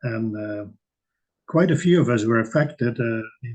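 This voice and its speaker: A man is speaking. His voice is somewhat breathy. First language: not English. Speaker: meditation community member. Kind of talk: casual discussion. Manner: halting, many fillers.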